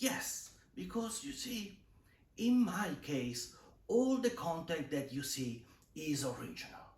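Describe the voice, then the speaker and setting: Very wide pitch swings mark a man's high voice as he talks at a very slow pace amid audible room echo. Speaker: video creator, art channel host. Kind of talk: improvised monologue to camera. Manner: hesitant, improvised.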